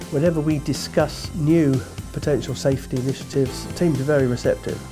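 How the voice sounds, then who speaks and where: Clear background music behind a man with ordinary pitch variation. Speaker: Formula 1 race director. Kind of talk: interview answer. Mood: calm, reflective. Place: studio.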